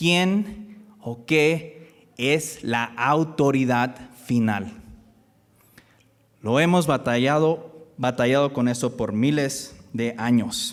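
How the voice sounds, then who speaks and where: At a very slow pace, a man speaks in a fairly high pitch with lively intonation. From US (born in Michoacán, Mexico). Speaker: guest preacher. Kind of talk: sermon. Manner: halting.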